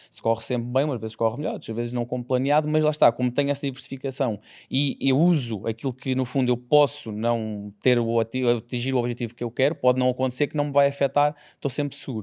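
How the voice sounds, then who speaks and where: A man at a very fast pace, fairly even in intonation, against a quiet background. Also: medium pitch for a man, hardly any pauses. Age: 20s. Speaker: lawyer and content creator, investor; lawyer, content creator. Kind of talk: casual interview. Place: studio. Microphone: studio mic.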